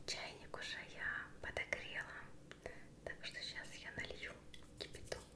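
The speaker talks at a fairly slow pace with long, frequent pauses, and noticeable background noise can be heard. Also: woman. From Russia. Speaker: ASMR creator. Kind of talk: ASMR roleplay. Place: kitchen.

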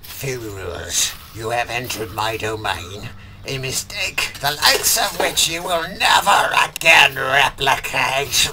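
A man speaks at medium pitch. Clear background noise runs behind him. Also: fairly slow pace. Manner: menacing, theatrical.

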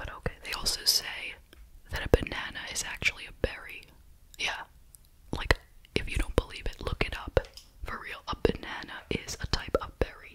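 The speaker is whispering and soft-spoken, at a moderate pace with long, frequent pauses. Light background noise is present. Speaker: candy reviewer. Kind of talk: casual review chat. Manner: soft ASMR whisper, chatty.

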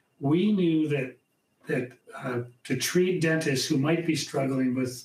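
A man speaks at a very slow pace with fairly even intonation. Audible room echo surrounds his voice. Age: 60s. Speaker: dentist in addiction recovery. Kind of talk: panel discussion. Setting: virtual event. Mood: calm, reflective. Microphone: webcam.

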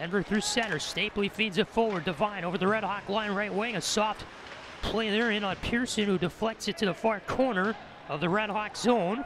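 Over noticeable background noise, a man with a high voice speaks at a moderate pace with fairly even intonation, and the sound is dry with no echo. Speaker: student radio play-by-play announcer. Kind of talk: commentary. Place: stadium.

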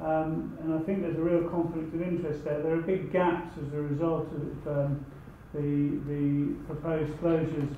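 At a moderate pace, a man with a fairly high pitch speaks in a monotone, flat intonation, with audible room echo and light background noise. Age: 50s. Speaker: audience member. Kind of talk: audience comment. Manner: halting. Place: meeting room. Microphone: camera far.

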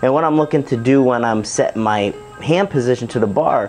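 Faint music plays in the background as a man talks with ordinary pitch variation. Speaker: strength coach. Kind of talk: tutorial. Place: gym.

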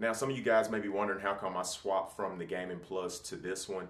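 A man is speaking. His voice carries an audible room echo. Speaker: tech reviewer. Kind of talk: product review talk. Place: home room.

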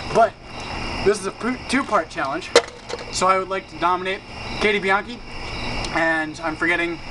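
Against loud background noise, a man talks at a moderate pace with ordinary pitch variation. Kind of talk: casual vlog chat. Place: garden. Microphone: camera far.

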